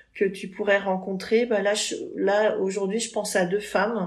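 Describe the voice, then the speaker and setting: A woman's monotone, flat delivery sits at a medium pitch and moves fairly slowly. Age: 50s. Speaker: cultural festival director. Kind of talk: interview.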